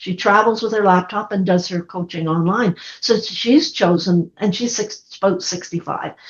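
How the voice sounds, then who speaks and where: A somewhat breathy woman's voice at medium pitch, moderate pace and ordinary pitch variation, with hardly any pauses. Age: 70s. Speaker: counseling therapist and speaker. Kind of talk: podcast interview.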